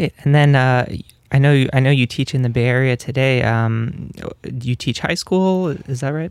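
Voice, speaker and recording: Here is a man with an unremarkable speaking voice at a medium pitch. He keeps a moderate pace with ordinary pitch variation. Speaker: graduate student interviewer. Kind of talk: interview. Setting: radio studio.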